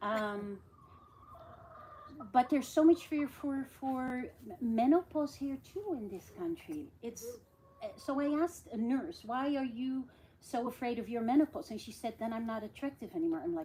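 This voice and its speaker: In a Dutch accent, a woman talks at a high pitch with big swings in loudness. Her speech has long, frequent pauses. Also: lively intonation, moderate pace. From Netherlands. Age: 60s. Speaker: nurse. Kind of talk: casual chat.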